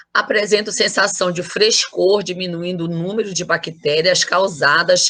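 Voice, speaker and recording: With an unremarkable speaking voice, a woman of medium pitch moves at a fairly slow pace using fairly even intonation. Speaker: university lecturer. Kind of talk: lecture.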